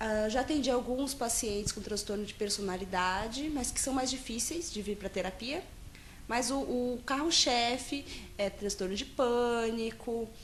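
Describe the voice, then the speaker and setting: Speech at a fairly slow pace with ordinary pitch variation is heard over noticeable background noise. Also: woman, high pitch for a woman. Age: 20s. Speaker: psychologist. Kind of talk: interview. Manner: halting, many fillers and restarts.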